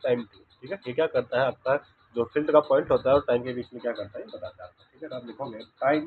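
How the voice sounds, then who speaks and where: Big swings in loudness run through this man's speech at a very fast pace. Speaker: physics teacher. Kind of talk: lecture. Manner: quiet.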